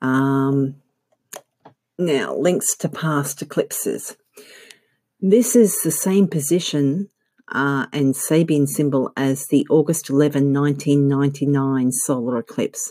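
A woman with an Australian accent speaks very slowly in a very deep, low voice with a dark, mellow tone and ordinary pitch variation, on a very clean recording with a silent background. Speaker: astrologer. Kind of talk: scripted-style informative talk. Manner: hesitant, frequent filler words.

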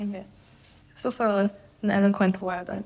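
At a moderate pace, a woman talks in a plain, everyday voice at a medium pitch. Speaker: podcast host. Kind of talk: interview chat.

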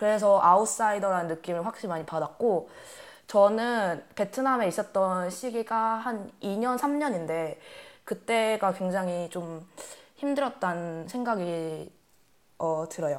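At a very slow pace, a woman speaks at a medium pitch with lively intonation. The recording is very clean, with a silent background. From Korea, Vietnam and Germany. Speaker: podcast co-host. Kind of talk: casual chat.

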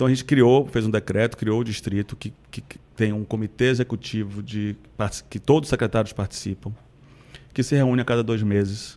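Using an unremarkable speaking voice, a man at a medium pitch talks at a moderate pace. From Salvador, Bahia, Brazil. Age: 40s. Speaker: city culture and tourism secretary. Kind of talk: interview.

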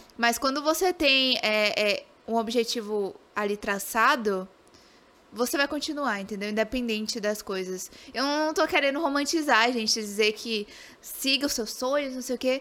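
A woman's high-pitched, raised and projected voice has a bright, sharp tone and a moderate pace. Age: 20s. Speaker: game streamer. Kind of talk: casual interview.

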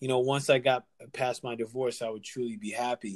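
A man speaks at a medium pitch with fairly even intonation. The sound is dry and close, with no echo. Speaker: health and fitness guide. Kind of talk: casual interview conversation. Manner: casual, sincere, hesitant with fillers.

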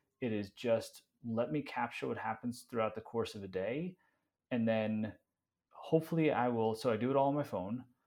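In a very clean recording with a silent background, a man with a normal speaking voice talks at a moderate pace, at a medium pitch with ordinary pitch variation. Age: 40s. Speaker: content creator and marketing executive. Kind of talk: casual interview chat.

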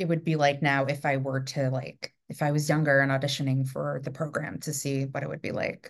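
A woman is speaking. She has a New York accent. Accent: New York American. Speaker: theatre director and podcast host. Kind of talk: casual interview chat.

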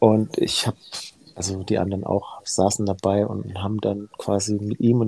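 This man has a fairly low pitch and a dark, mellow tone, somewhat breathy, with fairly even intonation. He talks at a moderate pace in a dry, close sound with no echo. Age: 40s. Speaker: heart surgeon. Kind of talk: casual interview chat.

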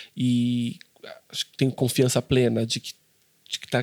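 A man's medium-pitched voice stays monotone, with flat intonation, and sounds dry and close with no echo. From interior of Brazil. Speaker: journalist and podcast host. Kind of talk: interview.

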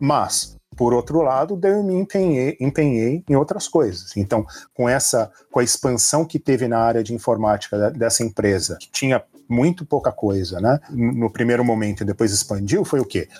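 Heard in a very clean recording with a silent background and a dry, close sound with no echo, a man uses a normal speaking voice at a medium pitch and moderate pace. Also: lively intonation. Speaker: hacker, security expert. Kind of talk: casual interview chat.

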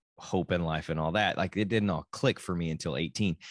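A man's very deep, low voice with a Texan accent and ordinary pitch variation, in a dry, close sound with no echo over a quiet background. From Texas. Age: 40s. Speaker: podcast host. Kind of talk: solo podcast monologue. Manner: casual, halting with many restarts.

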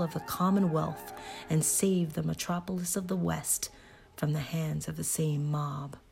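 Music plays behind the speaker. The delivery is fairly slow. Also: woman. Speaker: podcast host reading a novel aloud. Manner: casual chatty intro, then formal period-style delivery.

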